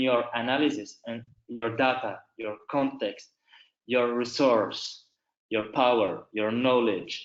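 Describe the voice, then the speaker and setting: A man speaks with a non-native accent. His pace is fairly slow. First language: not English. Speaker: human rights lawyer. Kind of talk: webinar presentation. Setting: online webinar.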